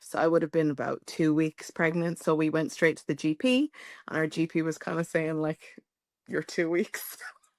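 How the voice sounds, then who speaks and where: Fairly low, fairly even speech from a woman, dry and close with no echo, on a very clean recording with a silent background. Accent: Irish. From Ireland. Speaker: podcast guest sharing pregnancy loss story. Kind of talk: personal testimony interview.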